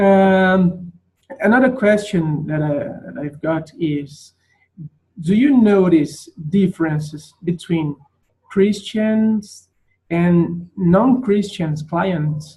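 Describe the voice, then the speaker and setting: Speaking very slowly with long, frequent pauses, a man with a Brazilian Portuguese accent has a high pitch and a dark, mellow tone. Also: ordinary pitch variation, big swings in loudness. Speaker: interviewer, therapist. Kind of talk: interview. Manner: halting.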